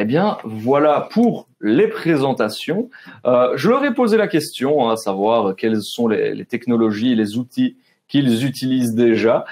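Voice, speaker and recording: A man speaks very slowly in a Belgian Ardennes accent. His pitch is medium and his intonation lively. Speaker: webinar host. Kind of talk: webinar moderation. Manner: casual, many fillers.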